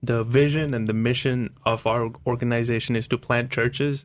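Monotone and flat, a man speaks at a medium pitch and moderate pace. The background is quiet. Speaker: ministry leader, pastor. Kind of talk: radio interview. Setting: radio studio.

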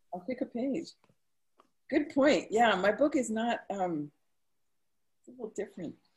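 Long, frequent pauses mark a woman's fairly slow speech. Her pitch swings very widely. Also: fairly high pitch for a woman. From Maine. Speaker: author. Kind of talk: author conversation. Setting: video call.

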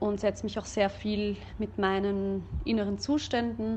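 This woman speaks at medium pitch and a fairly slow pace. Her tone is dark and mellow, with fairly even intonation. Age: 30s. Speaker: singer and vocal teacher. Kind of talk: casual chat.

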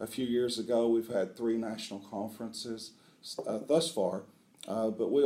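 A dark, mellow tone in an Appalachian accent at a fairly quick pace. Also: man. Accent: Appalachian Southern US. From US South, southeast Kentucky (Appalachia). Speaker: veterinary school dean. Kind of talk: interview. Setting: on location at a university.

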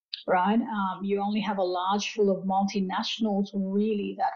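A woman speaks at a medium pitch with monotone, flat intonation. She holds a moderate pace. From Fiji. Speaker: food industry executive. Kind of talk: interview.

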